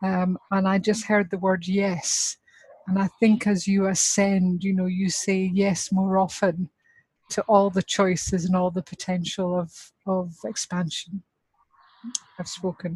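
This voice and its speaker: The voice, with a Scottish accent, is somewhat breathy and fairly slow, with monotone, flat intonation and a dry, close sound with no echo. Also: woman, medium pitch for a woman. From Scotland. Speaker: workshop participant. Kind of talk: group feedback sharing.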